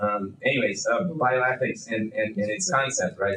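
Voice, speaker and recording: Lively in intonation, a man with a Brazilian accent speaks at a moderate pace. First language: Portuguese. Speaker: bioethics researcher, panelist. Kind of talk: panel discussion. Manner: halting, many fillers and repetitions.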